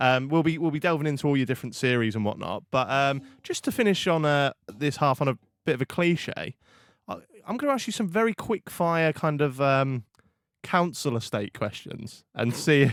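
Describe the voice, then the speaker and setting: In a slight East Anglian accent, a man with a fairly high voice and lively intonation is heard dry and close with no echo, on a very clean recording with a silent background. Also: moderate pace. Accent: weak Norwich. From Norfolk, England (Norwich). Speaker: podcast host. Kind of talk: casual chat.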